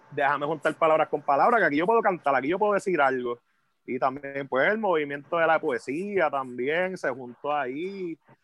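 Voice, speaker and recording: Speaking with a Puerto Rican accent, a man talks at a moderate pace in a fairly high pitch with ordinary pitch variation. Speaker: hip hop MC. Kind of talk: casual chat.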